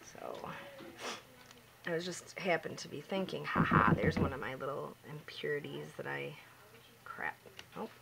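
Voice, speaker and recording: Over noticeable background noise, a woman speaks at a moderate pace, with big swings in loudness and long, frequent pauses. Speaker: home soap maker. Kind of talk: tutorial. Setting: at home. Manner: soft-spoken.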